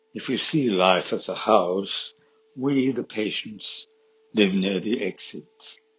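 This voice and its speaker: A man talks at a very slow pace. His pitch is fairly low, with ordinary variation. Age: 70s. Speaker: Parkinson's patient, amateur dancer. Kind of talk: scripted narration.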